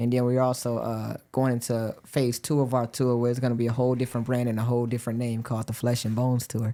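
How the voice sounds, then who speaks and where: The voice has a dark, mellow tone and monotone, flat intonation. It races along at a very fast pace with hardly any pauses. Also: man, medium pitch for a man. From Chicago, Illinois. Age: 20s. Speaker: comedian. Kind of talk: casual chat.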